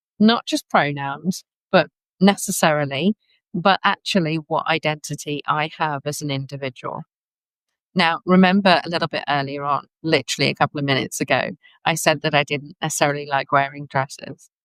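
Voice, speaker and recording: Someone talks at a fairly quick pace with a West Midlands accent. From England, West Midlands. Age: 40s. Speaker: podcast host, life coach. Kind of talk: solo podcast monologue.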